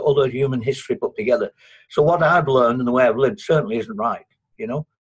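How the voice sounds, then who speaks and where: A man's somewhat breathy voice sits at a fairly high pitch with ordinary pitch variation. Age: 60s. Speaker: participant in an online economics discussion. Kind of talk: group discussion. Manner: halting, many repetitions and false starts.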